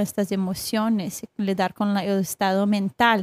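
A woman with a Brazilian accent speaks at a fairly slow pace and a medium pitch, with fairly even intonation. The sound is dry and close with no echo, in a very clean recording with a silent background. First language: Portuguese (speaking Spanish). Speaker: accountability coach. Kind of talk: casual interview.

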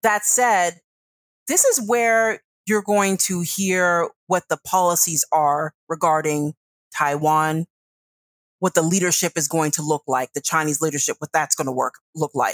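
An unremarkable speaking voice moves at a fairly slow pace with ordinary pitch variation. The recording is very clean, with a silent background and a dry, close sound with no echo. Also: woman, fairly low pitch for a woman. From US, northern Virginia (Centreville), Ghanaian immigrant parents. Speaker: foreign policy consultant. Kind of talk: interview.

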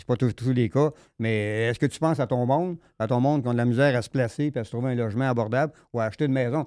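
On a very clean recording with a silent background, a man with a Quebec accent talks very fast in a dark, mellow voice with ordinary pitch variation. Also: medium pitch for a man. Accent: Québécois French. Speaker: political commentator. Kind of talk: casual chat.

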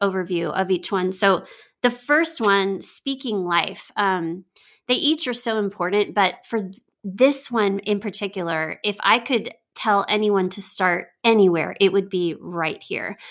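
A woman with an American accent has a normal speaking voice, medium pitch and ordinary pitch variation. She talks at a fairly slow pace on a very clean recording with a silent background. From Texas. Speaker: pastor and marriage author. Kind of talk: interview.

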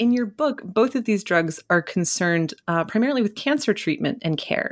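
Lively intonation in a normal speaking voice. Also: woman. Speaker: podcast host. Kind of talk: interview conversation.

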